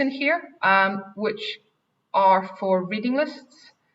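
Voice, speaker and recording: A woman speaks very slowly, her intonation lively. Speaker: head of English department, teacher. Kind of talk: Q&A answer; webinar presentation. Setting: online webinar.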